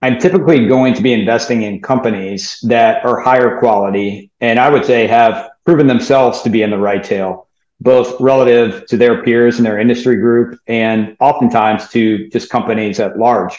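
A man with an American accent has an ordinary speaking voice, medium in pitch with ordinary pitch variation, at a moderate pace. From US South, New Orleans. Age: 40s. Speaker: fund manager. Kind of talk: interview.

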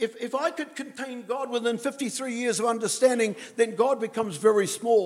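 With a New Zealand accent, a man talks at a moderate pace in an extremely high voice, his pitch varying in an ordinary way. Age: 80s+. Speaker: guest preacher. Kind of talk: sermon. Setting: church. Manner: talkative.

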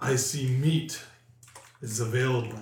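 A rumbling, put-on character voice at a fairly slow pace, with a slight echo. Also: man.

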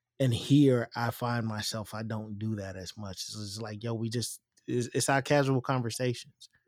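A man talks at a moderate pace with hardly any pauses. His pitch is medium and his intonation fairly even. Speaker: podcast co-host, military veteran. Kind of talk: casual chat. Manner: laid-back.

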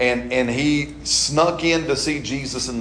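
This man talks with an American accent and ordinary pitch variation. Noticeable background noise runs behind him. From Alabama. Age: 40s. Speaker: pastor. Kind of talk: sermon. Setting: church.

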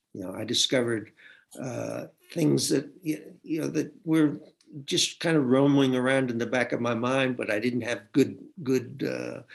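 With vocal fry and an American accent, a man speaks at a medium pitch and moderate pace with ordinary pitch variation. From US South, Tennessee. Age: 70s. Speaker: novelist. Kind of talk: interview.

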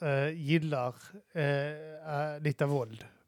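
A man talks in a fairly high pitch. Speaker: podcast co-host. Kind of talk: casual chat. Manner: animated.

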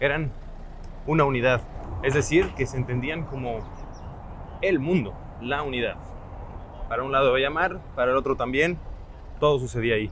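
Long, frequent pauses break up this man's speech, delivered at a medium pitch. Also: ordinary pitch variation, moderate pace. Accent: Mexican. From Mexico. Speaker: podcast host. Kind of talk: solo travel and history narration.

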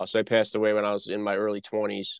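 With a Northeast US accent, a man speaks at a fairly low pitch, the sound dry and close with no echo over a quiet background. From North Jersey. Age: 40s. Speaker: podcast host. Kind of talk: interview. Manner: halting, many fillers; stutters on word starts.

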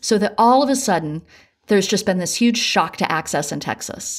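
Speaking with an American accent in a plain, everyday voice, a woman moves at a moderate pace with lively intonation, on a very clean recording with a silent background. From US South, rural Appalachia. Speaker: economics professor. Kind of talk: interview.

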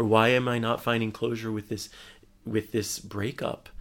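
With an American accent, a man speaks at a fairly low pitch and a moderate pace in monotone, flat intonation on a very clean recording with a silent background. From USA. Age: 40s. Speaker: love and relationship speaker. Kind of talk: casual interview. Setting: hotel room.

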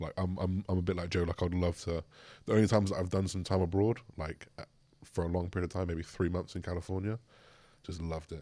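A man's very deep, low, dark and mellow voice with an English accent, very fast and monotone, on a very clean recording with a silent background. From rural England. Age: 20s. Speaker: bodybuilder. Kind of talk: casual chat.

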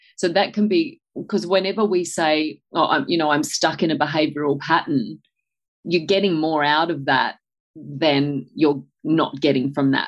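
Over a quiet background, a woman with an Australian accent talks at a moderate pace in a very deep, low pitch, with ordinary pitch variation and very even loudness. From Australia, country New South Wales. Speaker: nutritional biochemist. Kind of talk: interview.

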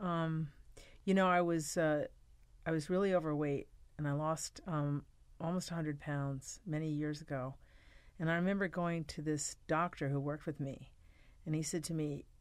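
A woman with an American accent speaks in a very deep, low voice with fairly even intonation and long, frequent pauses, on a very clean recording with a silent background. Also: moderate pace. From US Northeast, New York City. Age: 60s. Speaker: pastor. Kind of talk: casual chat.

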